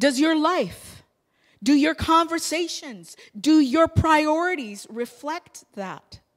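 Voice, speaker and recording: A woman talks at a very slow pace in a high voice. The background is quiet. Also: lively intonation. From England. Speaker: pastor. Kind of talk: sermon. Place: church. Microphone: handheld.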